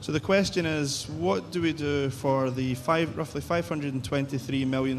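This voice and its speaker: Noticeable background noise and audible room echo run through the clip. The speech moves at a moderate pace with ordinary pitch variation. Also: man. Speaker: behavioural psychologist, researcher. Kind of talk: conference presentation. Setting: conference stage with audience and translators.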